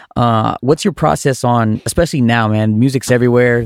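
An ordinary speaking voice from a medium-pitched man at a fairly quick pace, dry and close with no echo, on a very clean recording with a silent background. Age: 30s. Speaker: podcast host and DJ. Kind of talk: casual interview. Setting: recording studio.

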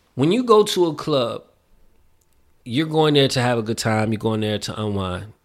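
An animated speaker with an American accent and lively intonation talks at a moderate pace, leaving long, frequent pauses. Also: man, medium pitch for a man. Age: 30s. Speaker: minister and former nightclub manager. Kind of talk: testimony.

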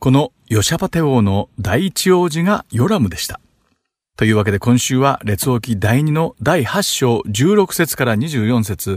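At a fairly slow pace, a man with a medium pitch swings very widely in pitch, recorded very cleanly over a silent background with a dry, close sound and no echo. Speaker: Bible teacher. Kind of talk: scripted narration.

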